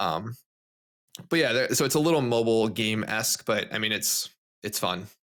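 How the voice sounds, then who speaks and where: A man talks at a fairly quick pace, medium in pitch with ordinary pitch variation. He takes long, frequent pauses. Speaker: gaming podcast co-host. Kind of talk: casual chat. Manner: fast; animated.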